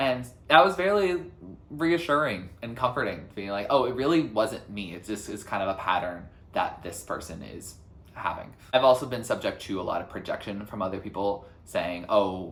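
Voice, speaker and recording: A man with a medium-pitched voice talks at a moderate pace, with very wide pitch swings and big swings in loudness. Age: 20s. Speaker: youtuber. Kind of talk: personal vlog reflection. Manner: energetic.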